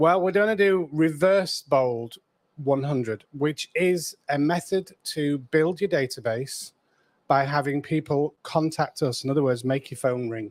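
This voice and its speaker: This man speaks with a British accent at a fairly slow pace, his fairly high pitch moving with ordinary variation, in a dry, close sound with no echo. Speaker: real estate coach. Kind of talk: live stream co-host chat. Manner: quiet. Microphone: too quiet.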